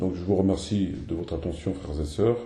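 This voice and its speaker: Putting on a character voice, a hoarse man with a very deep, low pitch talks at a fairly quick pace with audible echo. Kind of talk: speaking to a community as brothers and sisters.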